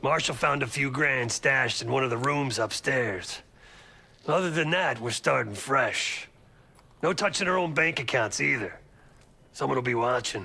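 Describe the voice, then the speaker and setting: A man puts on a raspy character voice at a medium pitch, speaking at a moderate pace with very even loudness and long, frequent pauses. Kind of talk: video game voice acting. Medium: video game. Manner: sarcastic, blunt, profane.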